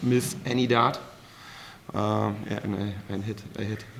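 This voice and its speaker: A man speaks with a German accent at a medium pitch. His intonation is monotone and flat. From Germany. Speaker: professional darts player. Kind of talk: post-match press interview. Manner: halting, many fillers.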